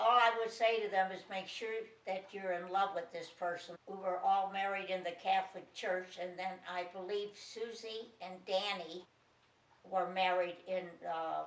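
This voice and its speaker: In an American accent, a woman at medium pitch talks at a fairly slow pace. Her intonation is monotone and flat. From Chicago, US Midwest. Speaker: grandmother interviewed for family documentary. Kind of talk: family interview reminiscence.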